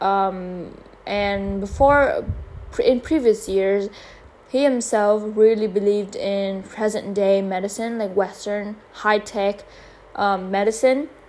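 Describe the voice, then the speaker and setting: A woman with a Vietnamese accent speaks at a very slow pace, her medium pitch held to fairly even intonation. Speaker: podcaster. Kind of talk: casual monologue. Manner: halting.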